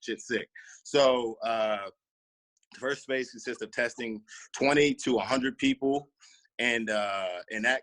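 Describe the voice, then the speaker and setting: A fairly slow, fairly even delivery with long, frequent pauses, in a dry, close sound with no echo. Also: man, medium pitch for a man. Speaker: podcast host. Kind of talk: casual chat. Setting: video call.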